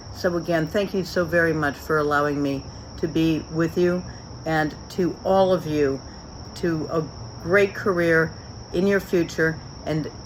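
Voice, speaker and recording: Over noticeable background noise, a woman with a fairly low pitch talks at a fairly slow pace with fairly even intonation and long, frequent pauses. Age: 60s. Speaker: business leader. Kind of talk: recorded acceptance speech.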